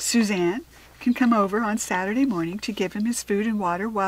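Here the speaker is reading aloud in a natural voice, with ordinary pitch variation.

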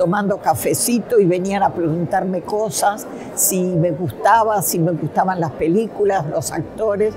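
Over noticeable background noise, a woman speaks at a fairly slow pace and medium pitch with ordinary pitch variation. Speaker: festival-goer. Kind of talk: interview testimony. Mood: warm, nostalgic.

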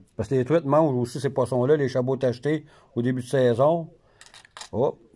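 With a Quebec accent, the voice has a dark, mellow tone and ordinary pitch variation. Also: man. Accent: Québécois French. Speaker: fishing video host. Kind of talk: casual interview in a tackle shop. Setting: in a fishing store. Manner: hesitant, many filler sounds. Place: shop. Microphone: phone near.

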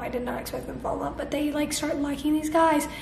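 A woman talks in a high pitch with flat, monotone intonation. Noticeable background noise sits behind her. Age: young. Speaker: book vlogger. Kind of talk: casual talk to camera.

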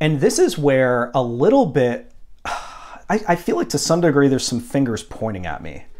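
Captured in a very clean recording with a silent background, a man talks at a moderate pace with a fairly high pitch and very wide pitch swings. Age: 30s. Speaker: jazz vinyl collector and YouTuber. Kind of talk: unscripted monologue to camera. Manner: casual, with frequent fillers.

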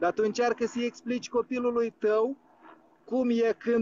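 This man's pitch is extremely high. He speaks at a moderate pace. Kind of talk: call-in discussion. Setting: outdoors.

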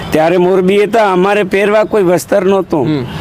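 With noticeable background noise behind him, a man speaks high in pitch with fairly even intonation. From Gujarat, Saurashtra (Jamnagar district village), family roots in Rajasthan. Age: 70s. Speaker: elderly craftsman interviewed on the street. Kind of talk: street interview.

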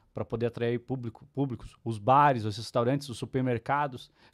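The man's speech runs at a fairly quick pace over a quiet background. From Curitiba, Brazil; Brazil. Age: 40s. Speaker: marketing speaker and writer; speaker. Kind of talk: casual interview chat. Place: studio. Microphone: studio mic.

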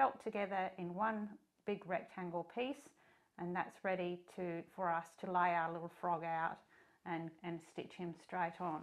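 A woman's fairly low voice at a fairly slow pace, with ordinary pitch variation and a quiet background. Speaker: sewing tutor. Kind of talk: tutorial. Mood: warm, friendly.

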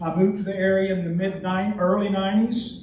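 A high-pitched man speaks with audible room echo and noticeable background noise. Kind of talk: speech at a club meeting. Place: meeting room. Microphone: podium.

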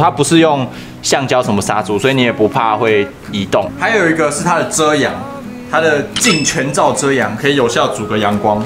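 The speaker is a man talking at a moderate pace. Clear music is heard behind him. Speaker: parent reviewing a stroller. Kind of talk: product demo chat. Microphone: phone near.

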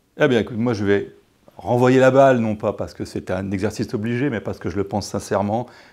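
A man speaks at a fairly quick pace, his intonation fairly even. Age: 60s. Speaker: lawyer and local politician, election candidate; lawyer, local politician, election candidate. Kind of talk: campaign interview. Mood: calm, warm, confident. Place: studio.

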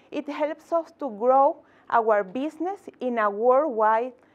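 A woman with a Spanish accent, high in pitch with lively intonation, at a very slow pace. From Venezuela. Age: 30s. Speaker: tech entrepreneur and community founder; conference speaker. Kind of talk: inspirational talk. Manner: halting, with repetitions and fillers. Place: meeting room.

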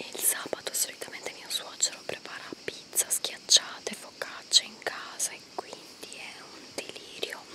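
Whispering from a woman at a fairly slow pace. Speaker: vlogger. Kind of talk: casual vlog chat. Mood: relaxed. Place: forest. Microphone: phone near.

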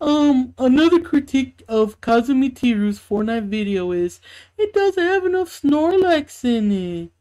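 A woman's high-pitched, put-on character voice. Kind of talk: mock YouTube review intro. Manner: mocking, playful, escalating.

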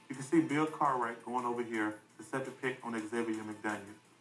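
The voice shows ordinary pitch variation, with music in the background. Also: man. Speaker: basketball player. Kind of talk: sports analysis on TV. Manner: soft-spoken.

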